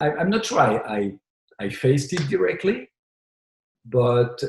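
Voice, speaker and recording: A man at a fairly slow pace, with very wide pitch swings and long, frequent pauses. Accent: French. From France. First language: French. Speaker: biotech CEO. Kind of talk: interview answer.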